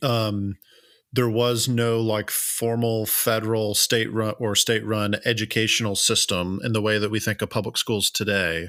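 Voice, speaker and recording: The voice has a bright, sharp tone and a slight Southern US accent. The recording is very clean, with a silent background. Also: man. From US South. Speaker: history podcast co-host. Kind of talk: conversational history presentation. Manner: casual, many filler words.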